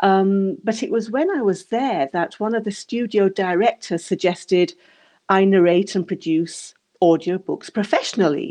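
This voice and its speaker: A woman with a strong English accent speaks at medium pitch and a moderate pace, her tone dark and mellow with ordinary pitch variation. The background is quiet. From England. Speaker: audiobook narrator. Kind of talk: interview.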